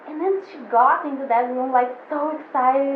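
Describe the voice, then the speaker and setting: With a Portuguese accent, a woman talks in a high voice over noticeable background noise, with audible room echo. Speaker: photographer. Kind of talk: casual chat. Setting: studio. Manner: halting, many fillers. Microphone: poor audio.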